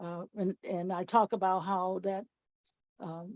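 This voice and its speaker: With a Southern US accent, a woman talks at medium pitch in a monotone, flat intonation, the sound dry and close with no echo. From Mississippi. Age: 70s. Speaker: author and speaker. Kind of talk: personal testimony talk. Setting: video call.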